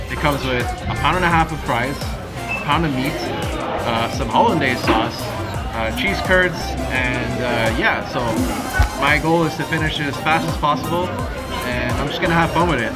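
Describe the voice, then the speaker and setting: Loud music plays in the background as a man talks at a fairly slow pace. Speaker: food challenge vlogger. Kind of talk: casual vlog chat. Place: cafe. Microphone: phone near.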